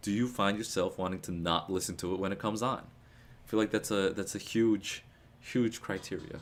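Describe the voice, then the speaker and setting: In a very clean recording with a silent background, a man speaks at a moderate pace, fairly low in pitch, with ordinary pitch variation. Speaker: music reaction streamer. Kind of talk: live album reaction stream. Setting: live stream with chat. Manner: casual, stumbling over words.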